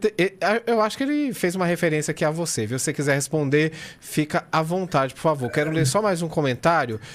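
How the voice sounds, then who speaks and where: A man with a Cearense accent, fairly high in pitch, lively in intonation, at a fairly quick pace. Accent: Cearense Northeastern Brazilian. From Ceará, Brazil. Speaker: radio host. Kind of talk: radio talk show.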